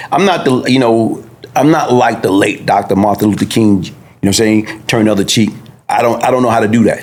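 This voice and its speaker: Over noticeable background noise, a man speaks at a very fast pace with very even loudness. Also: medium pitch for a man, ordinary pitch variation. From US Northeast, Brooklyn, New York. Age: 60s. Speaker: former gang figure, interview guest. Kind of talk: podcast interview testimony.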